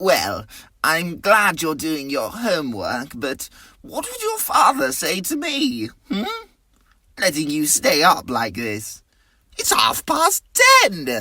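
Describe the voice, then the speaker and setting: Delivery is fairly unhurried. The voice is a put-on character act. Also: woman, fairly low pitch for a woman. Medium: read story.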